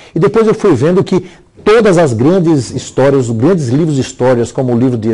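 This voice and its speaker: A man with a dark, mellow tone speaks at a fairly quick pace. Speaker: bishop and storyteller. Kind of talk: interview. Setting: TV studio at home. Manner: fast.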